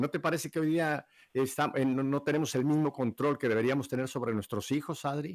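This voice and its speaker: A man's plain, everyday voice, fairly high in pitch, at very even loudness, with a dry, close sound, no echo, and a very clean recording over a silent background. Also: fairly even intonation, fairly quick pace. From Mexico City. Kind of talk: live radio interview. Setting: radio studio.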